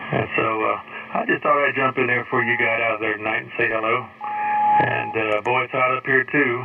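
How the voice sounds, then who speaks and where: Noticeable background noise sits behind a man speaking. He has an American accent and a fairly quick pace. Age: 60s. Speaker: ham radio operator. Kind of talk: amateur radio contact. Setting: radio transmission.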